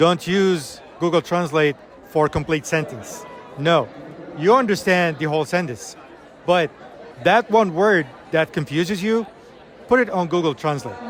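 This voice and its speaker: With an Arabic accent, the speaker talks at a fairly slow pace with lively intonation and long, frequent pauses over noticeable background noise. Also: man, high pitch for a man. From Iraq. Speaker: English teacher. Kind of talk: conference interview.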